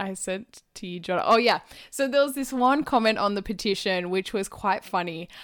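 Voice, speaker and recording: A woman speaks at a moderate pace. Her pitch is medium and its variation is ordinary. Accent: Australian. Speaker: podcast co-host. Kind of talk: casual chat.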